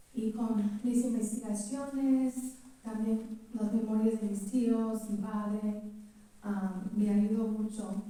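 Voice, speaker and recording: Very slow, monotone and flat speech from a woman with a fairly high pitch, set against noticeable background noise. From California, US. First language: English (speaking Spanish). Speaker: relative of the novel's protagonist. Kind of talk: public talk at book presentation. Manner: halting.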